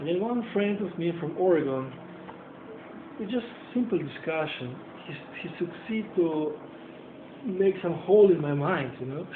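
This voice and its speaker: The speech is broken by long, frequent pauses, with noticeable background noise behind it. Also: moderate pace. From Europe. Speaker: interviewer and journalist. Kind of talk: casual chat.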